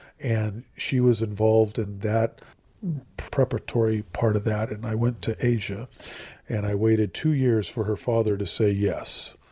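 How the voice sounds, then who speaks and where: A man's dark, mellow, somewhat breathy voice with an American accent, medium pitch, fairly even intonation and a moderate pace. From US, Southern California. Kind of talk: interview.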